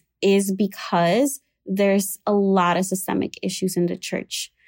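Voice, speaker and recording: A woman with a Spanish accent speaks at a fairly slow pace in a medium pitch. Her tone is dark and mellow, with fairly even intonation. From Puerto Rico. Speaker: psychotherapist. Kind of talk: expert interview. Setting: at home, not a studio.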